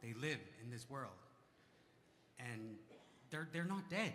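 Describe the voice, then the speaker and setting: A man's bright, sharp, fairly high voice at a moderate pace, with audible room echo. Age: 40s. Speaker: community member speaking from the floor. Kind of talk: testimony. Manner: halting.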